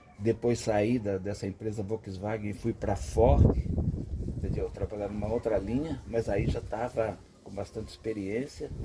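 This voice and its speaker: Against noticeable background noise, a man with a fairly low voice speaks at a fairly slow pace with ordinary pitch variation. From interior of São Paulo state, Brazil (Avaré). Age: 60s. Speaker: veteran car mechanic. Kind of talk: casual storytelling to camera. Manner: casual, with repeated filler 'entendeu'.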